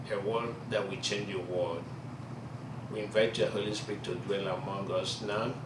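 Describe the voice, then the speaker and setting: Noticeable background noise sits behind a man with a Nigerian accent talking at a moderate pace. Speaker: preacher. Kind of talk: prayer. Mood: solemn, reverent. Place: classroom. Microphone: camera far.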